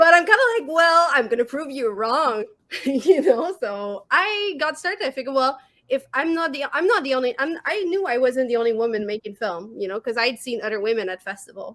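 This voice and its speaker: A woman speaks with a French-Canadian accent, high in pitch with very wide pitch swings. Her tone is bright and sharp, and her pace fairly quick. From Quebec, Montreal. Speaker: horror filmmaker and podcast co-host. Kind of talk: casual chat. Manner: hesitant, many fillers.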